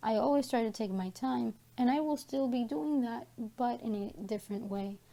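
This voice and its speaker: A woman's fairly high voice, dark and mellow in tone, with ordinary pitch variation. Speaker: mental health vlogger. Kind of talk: personal vlog update. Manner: slow, deliberate; hesitant, many fillers.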